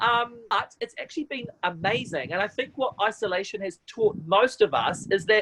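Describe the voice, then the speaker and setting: A loud, animated man with a New Zealand accent, high in pitch, at a moderate pace. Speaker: TV presenter and MC. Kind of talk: casual chat.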